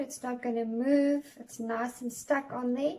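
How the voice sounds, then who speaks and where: A woman's high-pitched voice with fairly even intonation. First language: not English. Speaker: cake decorating tutor. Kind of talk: tutorial. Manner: halting, many fillers.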